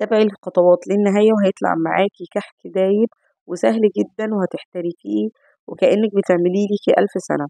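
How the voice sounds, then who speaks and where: Speaking in an Egyptian accent, a woman keeps a medium pitch and a moderate pace with fairly even intonation. Her tone is dark and mellow, and the sound is dry and close with no echo. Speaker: cooking channel host. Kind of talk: cooking tutorial.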